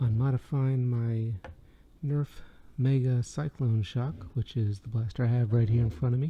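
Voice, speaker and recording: Whispering at a moderate pace, a soft-spoken man talks. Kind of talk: ASMR tinkering video, soft-spoken demonstration. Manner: soft-spoken, whispered.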